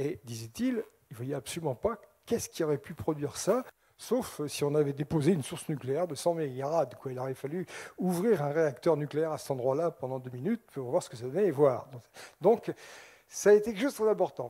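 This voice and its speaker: A man with a somewhat breathy, dark, mellow voice speaks fairly quickly and at a fairly high pitch, his intonation lively and his loudness swinging widely. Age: 60s. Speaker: scientist lecturer on UFOs. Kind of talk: public lecture. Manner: animated.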